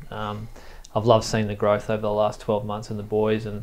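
This man speaks with an Australian accent. His pitch sits fairly low. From Tweed, northern New South Wales, Australia; New South Wales, Australia. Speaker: sports high performance manager. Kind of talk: casual interview. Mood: calm, reflective. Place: studio. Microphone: lapel.

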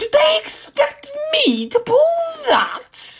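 At a very slow pace, a female-sounding put-on character voice speaks with an extremely high pitch and very wide pitch swings. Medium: read story. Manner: boastful, indignant.

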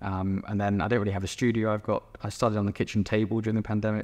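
A man speaks with a southern English accent. His intonation is monotone and flat. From England, East Sussex; England. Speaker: painter. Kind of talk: interview. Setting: gallery exhibition. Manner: hesitant, many fillers. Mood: relaxed, friendly. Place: hall.

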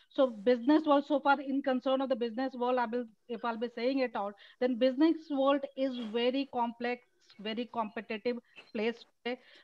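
Speaking with an Indian accent, a woman keeps her high voice in fairly even intonation. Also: moderate pace, dry sound with no echo. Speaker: event organizer. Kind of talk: welcome speech. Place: home room. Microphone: video call.

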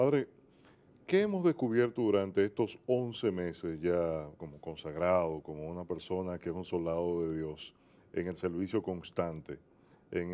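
Speaking at a moderate pace, a man with a very deep, low pitch has a dark, mellow tone and ordinary pitch variation. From Dominican Republic. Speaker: TV program host. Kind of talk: religious TV interview. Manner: animated. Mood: warm, earnest, religious. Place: studio. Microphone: lapel.

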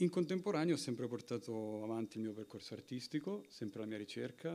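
A man with a dark, mellow tone talks fairly quickly. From Italy. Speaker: film director; guest. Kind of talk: Q&A answers. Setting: stage with audience. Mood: reflective, calm. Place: hall.

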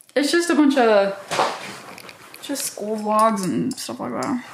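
A woman with a fairly high pitch speaks at a moderate pace with lively intonation and long, frequent pauses, amid noticeable background noise. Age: 20s. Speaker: college student. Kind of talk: casual vlog talk to camera.

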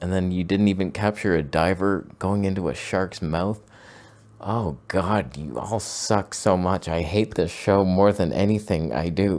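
A man speaks with a very deep, low pitch and ordinary pitch variation. His pace is fairly slow. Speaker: photography show host. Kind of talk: comedic commentary. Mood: mock-exasperated sarcastic. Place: home room. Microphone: studio mic.

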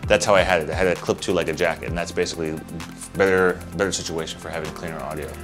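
The voice runs at a very fast pace in a monotone, flat intonation, with clear music in the background. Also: man, very deep, low pitch for a man. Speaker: tech reviewer. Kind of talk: product review. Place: home room. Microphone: lapel.

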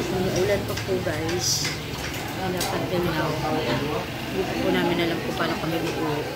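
Loud background noise fills the clip. A woman speaks through it at a moderate pace. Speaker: vlogger. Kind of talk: casual vlog chat. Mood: relaxed, playful. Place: cafe. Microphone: phone near.

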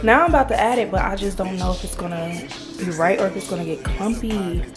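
A woman with an American accent talks at a moderate pace and medium pitch while clear music plays in the background. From New Jersey. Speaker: vlogger. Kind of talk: casual vlog talk while cooking. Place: kitchen. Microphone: phone near.

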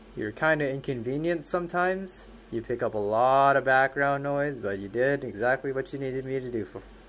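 Light noise sits in the background. The man's pitch varies in an ordinary way at moderate speed. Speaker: music creator vlogger. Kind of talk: casual vlog chat. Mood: playful, upbeat. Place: booth. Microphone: phone near.

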